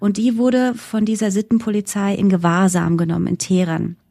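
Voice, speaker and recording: The voice is a woman's, dark and mellow at a medium pitch. She speaks at a fairly slow pace. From Germany, German-Iranian background. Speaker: journalist and presenter. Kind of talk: interview.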